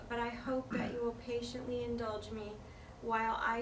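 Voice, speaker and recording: A woman with an American accent and fairly high pitch speaks at a moderate pace in a monotone, flat intonation, with audible room echo and noticeable background noise. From Pennsylvania. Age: 50s. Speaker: near-death experiencer speaker. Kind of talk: reading aloud prepared talk. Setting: talk before an audience. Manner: halting.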